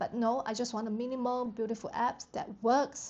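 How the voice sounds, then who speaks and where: Speaking very fast with a non-native accent, a woman uses a fairly high voice. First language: not English. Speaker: app developer vlogger. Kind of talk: vlog narration.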